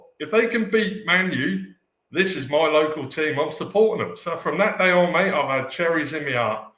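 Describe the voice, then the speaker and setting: Audible room echo surrounds a man speaking at a moderate pace. His voice is high, with ordinary pitch variation. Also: hardly any pauses. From southern England, Poole, Dorset. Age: 50s. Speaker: football fan. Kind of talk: casual chat.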